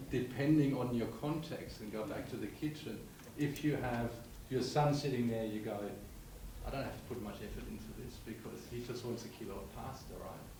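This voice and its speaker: Noticeable background noise and audible room echo surround a man speaking at a moderate pace with fairly even intonation. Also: medium pitch for a man. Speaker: audience member asking questions. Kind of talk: panel discussion Q&A. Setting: symposium hall with microphone. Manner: loud.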